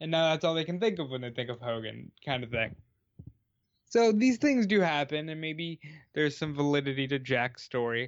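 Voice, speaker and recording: With a normal speaking voice, this man talks at a moderate pace, his pitch fairly high and his intonation lively. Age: 20s. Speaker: wrestling podcast co-host. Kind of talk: casual chat.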